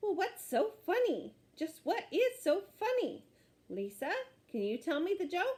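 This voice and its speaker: Putting on a character voice, a woman speaks at a fairly slow pace in an extremely high pitch with very wide pitch swings. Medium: read story.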